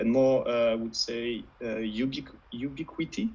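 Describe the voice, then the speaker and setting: A man speaks with a French accent at a medium pitch. His pitch varies in an ordinary way. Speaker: web3 panelist. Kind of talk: panel discussion.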